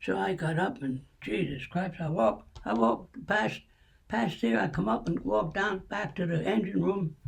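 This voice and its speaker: A high-pitched man's voice in a Pennsylvania accent, with very wide pitch swings over noticeable background noise. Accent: Pennsylvania American. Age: 80s+. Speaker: World War II veteran. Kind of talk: interview answer.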